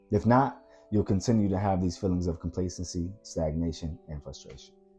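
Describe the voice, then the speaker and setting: With music in the background, a man with an American accent speaks at a fairly quick pace in a very deep, low voice, his loudness swinging widely. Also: ordinary pitch variation. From Washington DC area. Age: 30s. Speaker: filmmaker. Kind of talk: motivational talk to camera.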